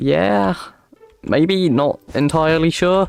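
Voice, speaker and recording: A man with a British accent and very wide pitch swings, over noticeable background noise. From UK. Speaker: Minecraft streamer. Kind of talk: live stream gameplay commentary. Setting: live stream with chat. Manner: casual, halting with repetitions.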